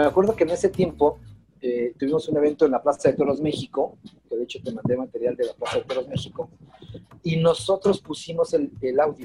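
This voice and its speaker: A man with an ordinary speaking voice talks at a fairly quick pace in a fairly high pitch, with ordinary pitch variation. The sound is dry and close with no echo. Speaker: drummer and music teacher. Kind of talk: casual chat.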